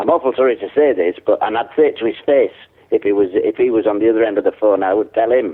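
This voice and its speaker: Someone speaks at a very fast pace in a Yorkshire accent. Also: man. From Yorkshire, Hull. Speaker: prank call target. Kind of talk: phone conversation. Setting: phone call.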